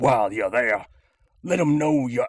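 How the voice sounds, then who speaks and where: A man puts on a character voice. It comes out raspy. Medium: audio drama. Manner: slangy, swaggering, rhyming.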